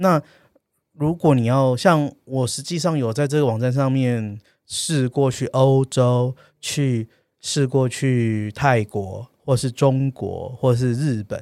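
At a very slow pace and with ordinary pitch variation, the voice sits in a dry, close sound with no echo on a very clean recording with a silent background. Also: man, medium pitch for a man. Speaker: travel podcast co-host. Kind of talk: casual chat. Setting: studio.

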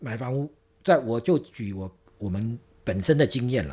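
A man's dark, mellow voice at medium pitch, with lively intonation. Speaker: interior design director. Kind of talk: interview.

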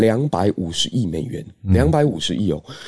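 A man speaks with a dark, mellow tone. His moderate pace comes with very wide pitch swings. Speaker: history teacher. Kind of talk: news commentary.

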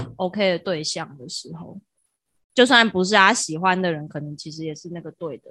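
In a very clean recording with a silent background, a woman with a fairly low pitch and bright, sharp tone shows big swings in loudness. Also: ordinary pitch variation, moderate pace. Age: 20s. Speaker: podcast co-host. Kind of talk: casual chat.

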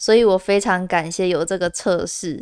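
A woman of medium pitch at a moderate pace, with fairly even intonation and a dry, close sound with no echo. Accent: Taiwanese. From Taiwan, Kaohsiung. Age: 20s. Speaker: podcast host. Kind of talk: personal monologue.

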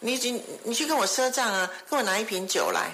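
A woman talks at a fairly quick pace, with noticeable background noise and audible room echo. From Taiwan. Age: 60s. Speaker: foundation executive director. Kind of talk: interview. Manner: halting.

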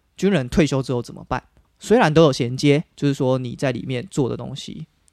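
A man with a Taiwanese accent at a fairly quick pace, very clean recording with a silent background, dry and close with no echo. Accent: Taiwanese Mandarin. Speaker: podcast co-host. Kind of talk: casual chat.

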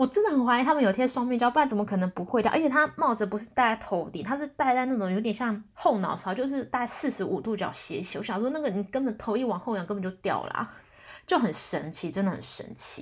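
A woman with a Taiwanese accent talks at a very fast pace, her fairly high pitch carried by lively intonation. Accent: Taiwanese Mandarin. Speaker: podcast host. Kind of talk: casual solo talk. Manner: hesitant, many fillers.

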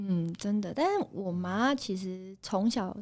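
A woman speaks at a fairly slow pace in a medium pitch, with ordinary pitch variation and an unremarkable speaking voice. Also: very clean recording, silent background. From Taiwan, Taipei. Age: 30s. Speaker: night market food stall owner. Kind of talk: casual interview.

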